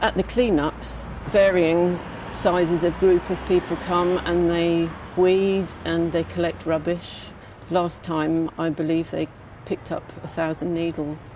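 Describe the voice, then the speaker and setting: A woman speaks at a fairly slow pace and fairly low pitch. Her intonation is monotone and flat, with noticeable background noise. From England, Brighton. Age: 60. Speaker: community campaigner. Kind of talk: documentary interview.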